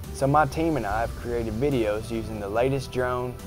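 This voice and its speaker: A fairly low-pitched man with a Kentucky accent at a fairly quick pace, music in the background. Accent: Southern US, Kentucky. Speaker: realtor. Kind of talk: promotional self-introduction to camera. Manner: friendly, earnest.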